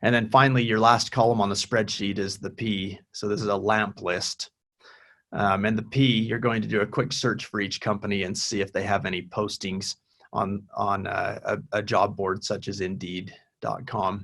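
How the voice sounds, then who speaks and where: Here is a man with a normal speaking voice at a fairly low pitch. He keeps a moderate pace and fairly even intonation. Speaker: university career director. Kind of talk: webinar presentation with Q&A.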